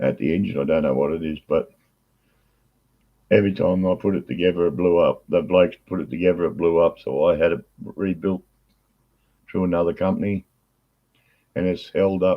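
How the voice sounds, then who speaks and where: In a very deep, low pitch, a man talks at a fairly quick pace with fairly even intonation and long, frequent pauses. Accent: Australian. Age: 60s. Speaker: workshop owner and motorbike rider. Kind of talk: casual chat.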